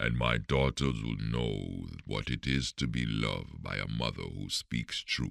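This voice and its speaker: In a put-on character voice, a man talks with a very deep, low pitch and a monotone, flat intonation at a fairly slow pace with hardly any pauses. The sound is dry and close with no echo. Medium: read story. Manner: respectful, gentle.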